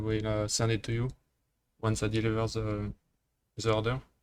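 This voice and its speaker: A man talks at a fairly quick pace in a French accent. His pitch is medium. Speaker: programming tutor. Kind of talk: tutorial. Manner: halting, many fillers.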